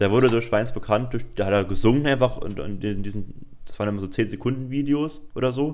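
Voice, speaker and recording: Fairly quick and mid-pitched, a man talks with normal variation in pitch. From Germany, Saarland. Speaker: student podcaster. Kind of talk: casual chat. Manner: halting.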